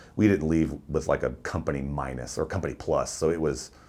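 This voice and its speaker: Very deep and low in pitch, a man talks at a fairly quick pace with vocal fry. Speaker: war veteran. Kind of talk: interview. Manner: loud; animated.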